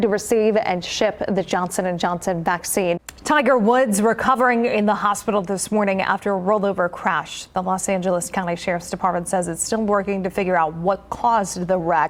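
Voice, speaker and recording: An ordinary speaking voice from a woman with an American accent, medium-pitched and fairly quick, with hardly any pauses. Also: ordinary pitch variation. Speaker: TV news anchor and reporter. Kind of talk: TV news anchor read, live broadcast.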